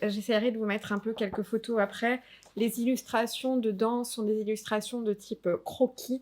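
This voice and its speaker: A very clean recording, silent background, and fairly even intonation. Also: woman. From Alsace, France. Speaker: tabletop RPG youtuber. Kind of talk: casual review vlog. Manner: hesitant, many fillers.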